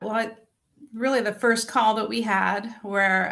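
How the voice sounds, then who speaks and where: A woman's plain, everyday voice at a fairly slow pace, with fairly even intonation and a quiet background. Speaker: retired corporate employee turned entrepreneur. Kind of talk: interview answer.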